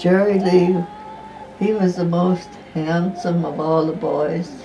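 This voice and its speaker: Through noticeable background noise, a woman in an American accent speaks very slowly at a fairly low pitch with a monotone, flat delivery. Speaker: storyteller telling her life story. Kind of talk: autobiographical narration.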